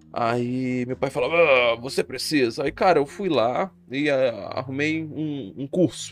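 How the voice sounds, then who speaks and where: A man with a plain, everyday voice speaks at a fairly slow pace, his pitch fairly high with ordinary variation. The recording is very clean, with a silent background. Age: 20s. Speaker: podcaster and streamer. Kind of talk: casual monologue. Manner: casual, slangy.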